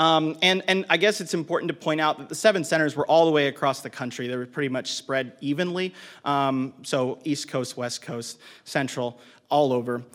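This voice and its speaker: On a very clean recording with a silent background, a man speaks in an ordinary speaking voice. His pitch is fairly high, with ordinary variation, and his pace is moderate. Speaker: marketing director, conference speaker. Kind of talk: conference presentation. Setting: stage with audience. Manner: uses many filler words.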